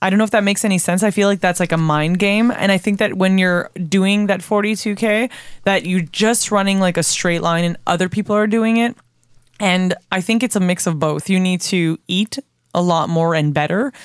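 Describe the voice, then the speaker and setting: On a very clean recording with a silent background, a woman speaks in a plain, everyday voice at medium pitch and a moderate pace, with fairly even intonation and very even loudness. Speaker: jiu-jitsu practitioner and podcast host. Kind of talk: casual chat. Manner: casual, profane, laughing often.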